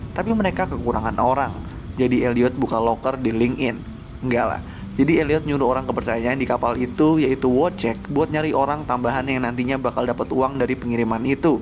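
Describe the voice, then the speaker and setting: Someone soft-spoken talks at a very fast pace with ordinary pitch variation. Noticeable background noise runs underneath. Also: man, medium pitch for a man. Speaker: movie recap narrator. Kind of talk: casual film plot recap narration. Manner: soft-spoken, lowered voice; relaxed, laid-back.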